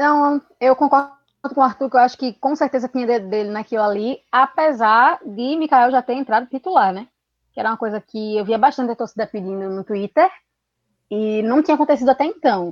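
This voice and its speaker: With a high pitch and ordinary pitch variation, a woman talks at a fairly quick pace. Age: 20s. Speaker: football commentator and historian. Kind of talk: casual football discussion.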